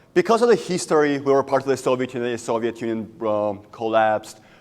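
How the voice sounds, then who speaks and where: On a very clean recording with a silent background, a man with a Georgian accent speaks at a fairly quick pace with lively intonation. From Georgia (country). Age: young. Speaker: student entrepreneur. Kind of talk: business pitch.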